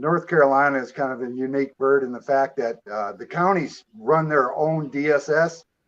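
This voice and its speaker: A man with an American accent and a normal speaking voice talks at a moderate pace with a fairly high pitch, ordinary pitch variation and hardly any pauses. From Michigan, US. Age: 60s. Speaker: caller, Air Force veteran. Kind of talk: casual chat.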